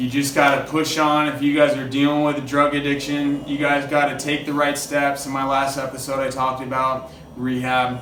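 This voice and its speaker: With hardly any pauses, a man speaks at a moderate pace in a fairly high pitch and monotone, flat intonation, amid noticeable background noise and audible room echo. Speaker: podcast host in recovery from addiction. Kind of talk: casual interview chat. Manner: halting, self-interrupting; casual, filler-heavy.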